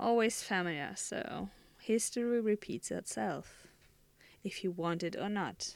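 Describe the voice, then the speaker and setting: A woman's medium-pitched voice with a German accent, at a fairly slow pace and with ordinary pitch variation. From Germany. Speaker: podcast host. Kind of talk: solo monologue. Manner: halting.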